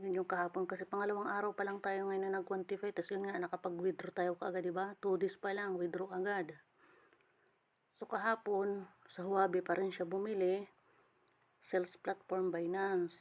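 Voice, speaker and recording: A woman in a strong Eastern Visayan accent, flat and monotone in delivery. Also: medium pitch for a woman, moderate pace. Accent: Waray accent, strong. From Samar, Eastern Visayas, Philippines. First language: Waray (speaking Tagalog). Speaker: crypto earning vlogger. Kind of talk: screen-recording tutorial. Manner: disorganized, halting speech.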